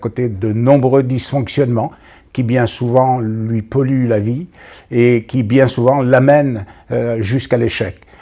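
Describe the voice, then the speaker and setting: The man's voice sits at a medium pitch with a dark, mellow tone. His intonation stays fairly even. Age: 70s. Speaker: business consultant. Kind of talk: interview answer.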